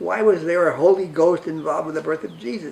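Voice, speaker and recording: A man with a New York accent, high pitch, ordinary pitch variation and a fairly quick pace. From New York (Brooklyn). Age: 90s. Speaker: interviewee, humanist group member. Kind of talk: personal life story interview.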